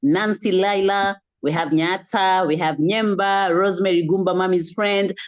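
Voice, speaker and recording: This woman has a fairly low pitch and speaks with a Kenyan accent. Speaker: online wellness community host. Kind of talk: closing remarks and thanks to attendees. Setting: video call.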